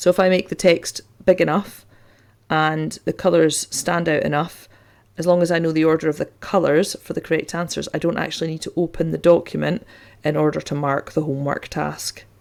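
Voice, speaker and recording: A woman's fairly low, monotone, flat voice in a Scottish accent at a fairly quick pace. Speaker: teacher and tech tutorial host. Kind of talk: tutorial.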